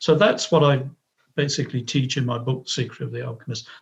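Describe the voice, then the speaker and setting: A man speaks in a somewhat breathy voice, and his intonation stays fairly even. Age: 60s. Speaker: author. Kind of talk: interview. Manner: halting.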